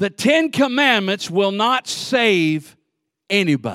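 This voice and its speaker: A man with a high pitch and a bright, sharp tone speaks very slowly with very wide pitch swings. The recording is very clean, with a silent background. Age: 60s. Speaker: pastor. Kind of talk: sermon. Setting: church. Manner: animated.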